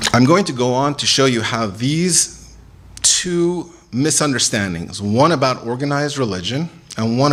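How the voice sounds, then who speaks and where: A man's medium-pitched voice with very wide pitch swings and audible room echo. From Iran. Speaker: religious speaker. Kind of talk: lecture.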